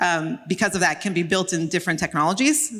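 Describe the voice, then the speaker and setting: Heard on a very clean recording with a silent background, a woman with a plain, everyday voice talks at a fairly quick pace and a fairly low pitch, with ordinary pitch variation. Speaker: tech company CEO, conference speaker. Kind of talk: conference talk.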